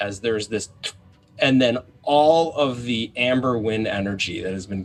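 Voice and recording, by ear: Natural-voiced reading aloud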